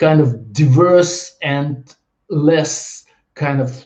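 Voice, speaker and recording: A man with a fairly high pitch speaks in a dark, mellow tone that is somewhat breathy. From Russia. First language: Russian. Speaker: video blogger. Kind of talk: monologue video blog. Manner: halting.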